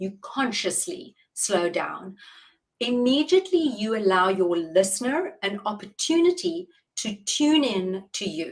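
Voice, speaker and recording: A woman with a South African accent speaks at a fairly slow pace in a fairly high pitch, somewhat breathy, with very wide pitch swings. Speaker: public speaking coach. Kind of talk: interview. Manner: deliberate, measured pace.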